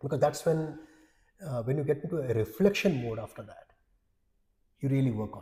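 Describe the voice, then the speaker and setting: A man with a fairly high pitch and a dark, mellow, somewhat breathy tone speaks at a fairly quick pace with ordinary pitch variation, big swings in loudness, and long, frequent pauses. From India, Odisha. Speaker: HR executive. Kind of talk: interview conversation.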